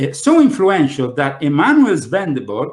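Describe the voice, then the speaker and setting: A somewhat breathy voice with an Italian accent, at a moderate pace. The pitch swings very widely. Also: man. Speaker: conspiracy talk show host. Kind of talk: panel discussion. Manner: hesitant, many fillers.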